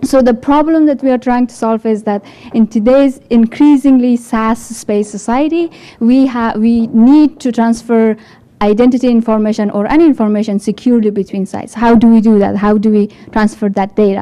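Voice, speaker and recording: A woman's fairly high voice with a dark, mellow tone, fairly even intonation, and an Afghan accent. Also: moderate pace. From Afghanistan. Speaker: developer support engineer. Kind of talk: tech talk. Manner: halting.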